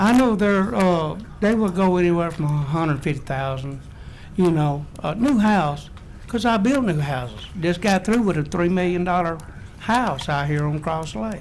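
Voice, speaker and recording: Over audible room echo, a man with an American accent speaks at a high pitch and moderate pace with lively intonation. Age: 70s. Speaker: home builder speaking at public hearing. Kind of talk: public hearing testimony. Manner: halting, many fillers.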